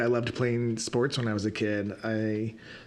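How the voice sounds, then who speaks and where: In a room with audible echo, a man talks at medium pitch and a moderate pace with fairly even intonation. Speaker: podcast host and reiki practitioner. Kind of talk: personal reflective monologue. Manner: halting, stuttering.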